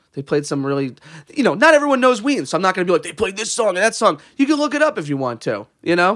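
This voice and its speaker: Talking at a very fast pace, a man uses a high pitch with very wide pitch swings. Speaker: podcast co-host. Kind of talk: casual chat. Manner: tired, jokey.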